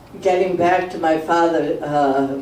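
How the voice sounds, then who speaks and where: A man speaks with monotone, flat intonation. The recording has audible room echo and noticeable background noise. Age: 80s+. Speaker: elderly local resident sharing memories. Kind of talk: reminiscence talk to a community meeting. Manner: halting, rambling.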